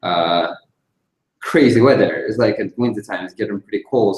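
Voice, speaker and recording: A man with a Russian accent speaks at a fairly low pitch. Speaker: DJ and music producer. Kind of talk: interview.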